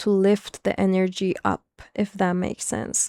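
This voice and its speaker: The recording is very clean, with a silent background and a dry, close sound without echo. A woman with a non-native accent speaks at a moderate pace in a dark, mellow tone. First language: not English. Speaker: spiritual content creator. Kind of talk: casual monologue. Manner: halting, many fillers and restarts.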